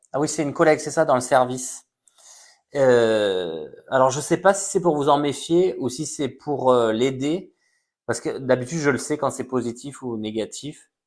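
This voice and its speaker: This man has an ordinary speaking voice, fairly high in pitch with ordinary pitch variation. The background is quiet. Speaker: psychic medium. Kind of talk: live stream reading. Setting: live stream on social media.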